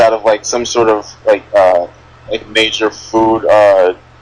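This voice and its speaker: A man speaks over noticeable background noise. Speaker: podcast host. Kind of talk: casual chat. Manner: stuttering, halting.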